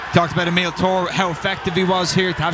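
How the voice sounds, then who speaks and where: A man speaks very fast in a high voice with an Irish accent. Noticeable background noise and audible room echo surround him. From Ireland. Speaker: soccer color commentator. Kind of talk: live commentary.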